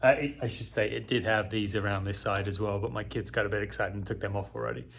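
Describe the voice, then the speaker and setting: A man with an English accent speaks with vocal fry. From England. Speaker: home improvement vlogger. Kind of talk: product review and unboxing. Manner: casual, with many fillers.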